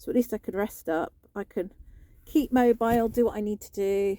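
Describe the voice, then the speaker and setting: A woman with a British accent, medium pitch and a dark, mellow, relaxed tone at a moderate pace, in a dry, close sound with no echo. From UK. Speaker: vlogger. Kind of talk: casual vlog talk. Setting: in a parked van in a car park. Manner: relaxed, lying down.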